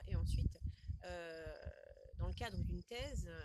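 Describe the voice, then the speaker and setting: A woman is speaking. Her pace is moderate. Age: 30s. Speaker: educational project manager and marketing trainer. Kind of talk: interview answer.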